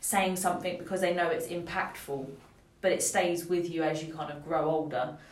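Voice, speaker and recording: Noticeable background noise and audible room echo fill the recording. A woman with a fairly low pitch talks at a moderate pace with fairly even intonation. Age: 20s. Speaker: podcast co-host. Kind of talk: casual chat.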